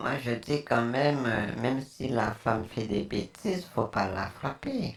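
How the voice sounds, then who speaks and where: Noticeable background noise sits beneath speech that unfolds at a very slow pace. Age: 70s. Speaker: scam-baiter posing as an elderly woman. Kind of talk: casual phone chat. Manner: hesitant.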